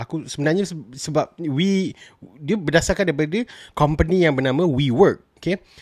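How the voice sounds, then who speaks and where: A man talks at a moderate pace with a fairly high pitch and ordinary pitch variation. The background is quiet and the sound is dry, with no echo. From Malaysia. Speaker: film and TV reviewer; TV reviewer. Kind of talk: solo review vlog. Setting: solo recording, audio only. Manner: casual with frequent fillers and code-switching. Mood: relaxed, enthusiastic. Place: home room. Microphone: studio mic.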